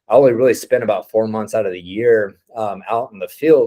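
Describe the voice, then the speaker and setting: Against a quiet background, a man with a Texan accent talks at a fairly quick pace. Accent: Texan American. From Texas, Midland. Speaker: oilfield entrepreneur. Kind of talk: informal talk to a group. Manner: casual, unscripted.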